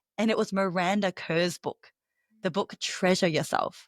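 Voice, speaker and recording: Speaking at a moderate pace with an Australian accent, a woman uses a medium pitch, and the sound is dry and close with no echo. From Australia, Melbourne. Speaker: professional speaker and business coach. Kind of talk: podcast interview.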